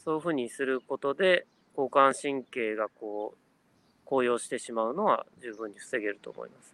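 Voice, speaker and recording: In a plain, everyday voice at medium pitch, a man speaks at a moderate pace with ordinary pitch variation and big swings in loudness, the sound dry and close with no echo. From Japan, Kanagawa. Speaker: business consultant. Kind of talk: casual interview chat. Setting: online live stream.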